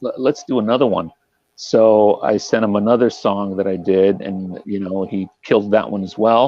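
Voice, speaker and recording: The delivery has ordinary pitch variation and a moderate pace. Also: man, fairly low pitch for a man. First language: Spanish. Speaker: touring metal guitarist. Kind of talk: interview. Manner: casual with many fillers.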